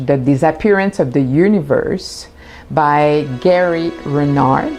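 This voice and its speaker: Her pace is extremely slow. The woman's intonation is lively. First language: French. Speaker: spiritual teacher. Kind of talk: announcement. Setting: home studio.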